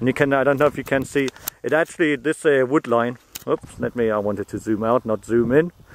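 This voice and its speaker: A man with a German accent at a medium pitch and fairly quick pace, ordinary pitch variation, in a dry, close sound with no echo. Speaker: metal detectorist. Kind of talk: casual video commentary. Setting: outdoors. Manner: halting.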